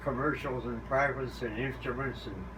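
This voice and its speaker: Noticeable background noise runs behind a man speaking at a moderate pace. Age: 80s+. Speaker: pilot; navy veteran. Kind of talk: interview answer. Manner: halting.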